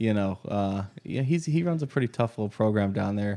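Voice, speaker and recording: In an American accent, a man talks at a fairly quick pace with ordinary pitch variation. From US South, Georgia. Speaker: podcast co-host. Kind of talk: casual sports chat. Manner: hesitant, many fillers.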